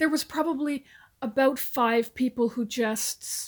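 An ordinary speaking voice from a woman, moderate in pace, its pitch varying in an ordinary way. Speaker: retired army officer. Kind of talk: interview.

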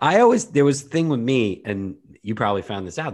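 A man talks at a fairly quick pace with lively intonation over a quiet background. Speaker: podcast co-host. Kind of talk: casual chat. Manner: animated.

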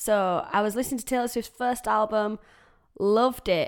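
A woman speaks with a Yorkshire accent. The recording is very clean, with a silent background. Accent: broad Yorkshire. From Yorkshire, England. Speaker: country singer-songwriter and podcaster. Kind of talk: casual solo podcast introduction.

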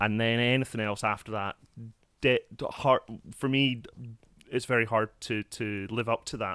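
In a Scottish accent, a man speaks at medium pitch with a bright, sharp tone and monotone, flat intonation at a moderate pace. Long pauses come often, and the sound is dry and close with no echo. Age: 40s. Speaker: sound technician. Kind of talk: casual chat.

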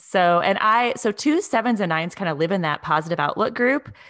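Talking at a fairly quick pace in a normal speaking voice, a woman with a medium pitch uses lively intonation. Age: 30s. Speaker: podcast host. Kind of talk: casual interview; scripted intro.

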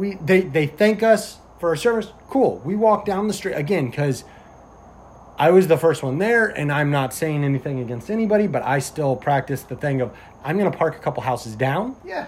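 Here is a man with a normal speaking voice and fairly high pitch. He keeps a moderate pace and lively intonation. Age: 20s. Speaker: police officer and podcast host. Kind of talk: casual chat.

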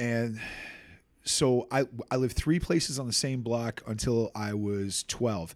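Speaking fairly slowly with a Boston accent, a man of medium pitch shows ordinary pitch variation on a very clean recording with a silent background. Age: 40s. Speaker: hardcore band bassist and singer. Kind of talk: casual chat. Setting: in person. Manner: animated, with impressions.

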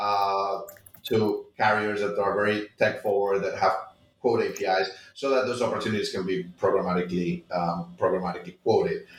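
A man speaks in a Spanish accent. He keeps a moderate pace. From Spain. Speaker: tech startup founder. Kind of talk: interview.

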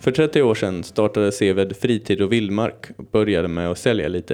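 This man has a plain, everyday voice, fairly low in pitch, with ordinary pitch variation and a moderate pace. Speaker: podcast host. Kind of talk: scripted narration; casual chat.

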